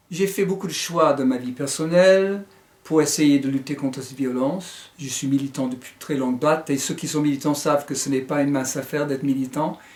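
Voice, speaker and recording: A man's fairly high voice with fairly even intonation at a fairly quick pace. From United States. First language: English (speaking French). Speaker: author and teacher. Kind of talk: book presentation. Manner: hesitant, with fillers.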